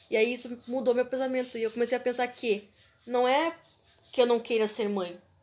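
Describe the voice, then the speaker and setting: A woman speaks at a moderate pace in a high pitch, with fairly even intonation. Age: 20s. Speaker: podcast host. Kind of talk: casual chat.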